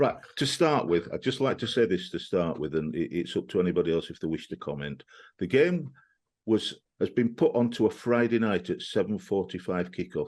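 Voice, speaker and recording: In a Yorkshire accent, a man talks at a fairly quick pace with very wide pitch swings over a quiet background. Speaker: football podcast host. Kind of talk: casual chat. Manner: halting.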